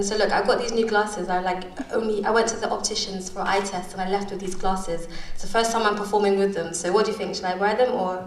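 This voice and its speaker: Noticeable background noise sits under a woman's very fast speech. Her medium pitch stays monotone, with flat intonation. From London. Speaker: spoken word poet. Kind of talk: casual talk to live audience.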